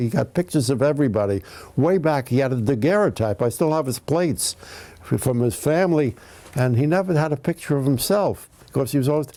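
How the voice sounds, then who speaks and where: Fairly high in pitch, a man with a New York accent speaks at a fairly quick pace with lively intonation, a dark, mellow tone and very even loudness. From Bronx, New York. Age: 90s. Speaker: comedian, writer. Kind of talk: interview answer.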